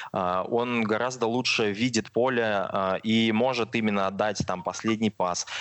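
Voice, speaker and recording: A plain, everyday voice at a fairly slow pace, with hardly any pauses, fairly even intonation and very even loudness. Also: man, medium pitch for a man. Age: 20s. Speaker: football fan YouTube blogger. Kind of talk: casual chat.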